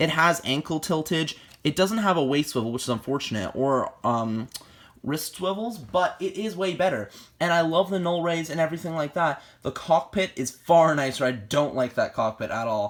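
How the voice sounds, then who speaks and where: At a moderate speed, the speech sits on a very clean recording against a silent background. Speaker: toy reviewer. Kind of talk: product review. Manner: halting, many fillers and self-corrections.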